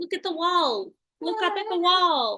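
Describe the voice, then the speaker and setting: A woman's squeaky, put-on character voice at an extremely high pitch, with lively intonation and a moderate pace. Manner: urgent, pleading.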